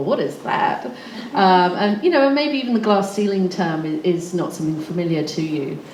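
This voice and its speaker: With a slight English accent, a woman speaks at a moderate pace with very wide pitch swings, amid audible room echo and noticeable background noise. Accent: slightly English-sounding. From Australia. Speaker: recruitment consultant and panelist. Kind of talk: panel talk. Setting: stage with audience. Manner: hesitant, many fillers.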